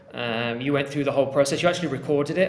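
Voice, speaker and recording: Room echo is audible and background noise is noticeable. Through it, a man of medium pitch speaks with fairly even intonation. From England. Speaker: podcast host. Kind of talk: casual podcast chat.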